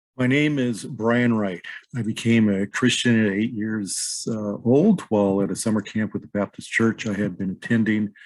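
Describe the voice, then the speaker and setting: A man speaks at a moderate pace and a fairly low pitch. He has a normal speaking voice. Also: fairly even intonation, very clean recording, silent background. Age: 50s. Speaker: podcast host. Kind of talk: scripted personal introduction.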